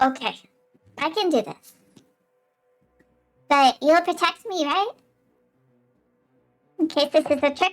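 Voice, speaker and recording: A woman puts on a squeaky character voice, high-pitched and at a moderate pace, broken by long, frequent pauses. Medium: actual play. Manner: anxious, questioning.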